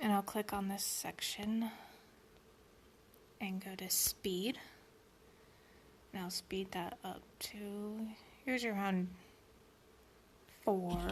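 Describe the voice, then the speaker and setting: Long pauses come often throughout. Everything is delivered very slowly. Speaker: beauty vlogger. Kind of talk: tutorial.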